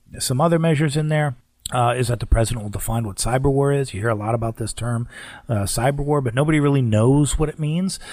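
Here a man at medium pitch talks at a very fast pace. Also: ordinary pitch variation. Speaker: radio host. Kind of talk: radio host patter, scripted-sounding show intro and segment bridges. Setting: radio studio, broadcast on AM stations.

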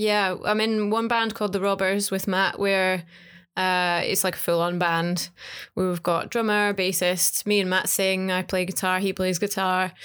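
A woman speaks with a British accent at a fairly slow pace. Her intonation is monotone and flat, and her loudness very even. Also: medium pitch for a woman, very clean recording, silent background. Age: 20s. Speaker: singer and podcast co-host. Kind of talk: casual chat.

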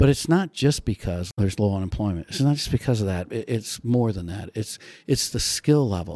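A man with an American accent speaks fairly quickly in a fairly low pitch with a dark, mellow tone and lively intonation, the recording very clean with a silent background and a dry, close sound with no echo. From US Midwest, South Bend, Indiana. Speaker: state commerce official. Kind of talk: interview.

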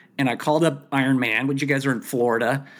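Fairly high in pitch, a man talks in an ordinary speaking voice with fairly even intonation. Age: 50s. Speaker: triathlete with mild cognitive impairment. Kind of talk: casual interview.

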